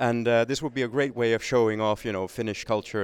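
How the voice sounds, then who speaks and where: A man with a Swedish accent talks at a fairly quick pace, his pitch medium and his intonation fairly even. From Finland (Swedish-speaking minority). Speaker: think tank manager, former journalist. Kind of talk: interview.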